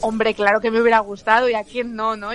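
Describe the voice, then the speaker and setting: A woman talks at a fairly quick pace while noticeable background noise carries on. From León, Spain. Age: 20s. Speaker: journalist and comedian. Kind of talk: casual chat.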